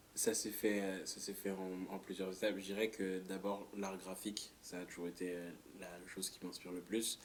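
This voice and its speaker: Monotone, flat intonation at a moderate pace. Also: man. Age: 20s. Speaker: artist. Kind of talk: interview. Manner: halting.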